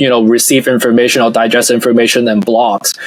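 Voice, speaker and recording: Here a man speaks at a fairly quick pace in a medium pitch. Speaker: investor and startup founder. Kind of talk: podcast interview. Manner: measured, with pauses; clear and structured.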